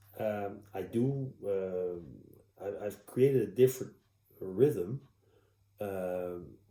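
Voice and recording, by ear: A man speaks very slowly in a low, dark and mellow voice with ordinary pitch variation, and the room echo is audible.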